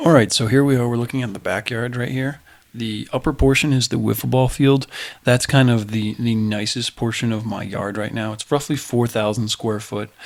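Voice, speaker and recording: Soft-spoken and fairly quick, a man talks with fairly even intonation. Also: medium pitch for a man. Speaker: lawn care vlogger. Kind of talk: casual tutorial. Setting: indoors at home. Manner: soft-spoken, talking quietly; hesitant, many fillers.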